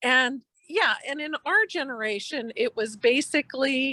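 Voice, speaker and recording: The voice is raised and projected, with a bright, sharp tone and lively intonation. The recording is very clean with a silent background and a dry, close sound with no echo. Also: woman. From Eastern Europe. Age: 60s. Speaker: physician. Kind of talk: podcast interview. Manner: conversational, with fillers.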